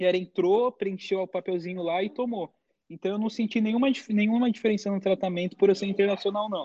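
Speaking at a fairly quick pace with a Brazilian accent, a man uses a high pitch and fairly even intonation. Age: 20s. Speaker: college esports athlete and content creator. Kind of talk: casual interview.

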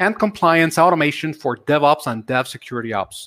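A man talks fairly quickly in a normal speaking voice. His intonation is lively. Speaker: webcast co-host. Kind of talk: live webcast interview. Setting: video call.

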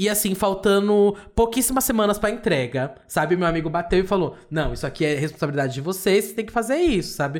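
There's an animated tone in this man's voice, with ordinary pitch variation, on a very clean recording with a silent background. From Brazil, São Paulo. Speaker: gossip podcast co-host. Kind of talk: casual chat.

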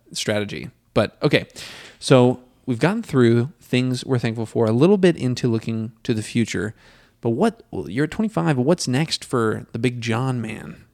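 A normal speaking voice from a man, medium in pitch and lively in intonation, at a moderate pace on a very clean recording with a silent background. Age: 20s. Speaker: podcast host. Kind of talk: casual chat.

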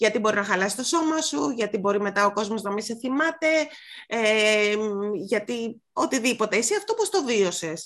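A woman speaks in an unremarkable speaking voice, fairly high in pitch. Her intonation is lively and her pace moderate. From Greece, Mani. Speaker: podcast host. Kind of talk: casual chat.

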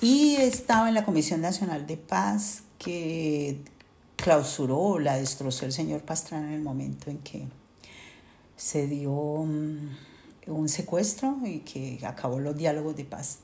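Amid audible room echo, a woman speaks very slowly in a somewhat breathy, dark, mellow tone, her very deep, low pitch carrying lively intonation and big swings in loudness. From Colombia. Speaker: sociologist, displaced migrant. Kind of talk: interview testimony.

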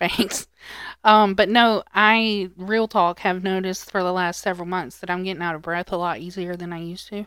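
A woman with a plain, everyday voice speaks at a moderate pace with fairly even intonation. The recording is very clean, with a silent background. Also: medium pitch for a woman, big swings in loudness. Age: 30s. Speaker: podcast co-host. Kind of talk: casual chat. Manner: laughs often.

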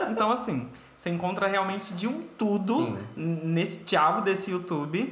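Over noticeable background noise and audible room echo, a man speaks in a high pitch. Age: 30s. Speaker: podcast host. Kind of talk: casual chat.

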